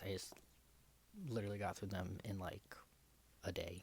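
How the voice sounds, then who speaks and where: Whispering, soft-spoken delivery. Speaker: book vlogger. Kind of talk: casual chat. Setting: home recording. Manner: whispery ASMR style.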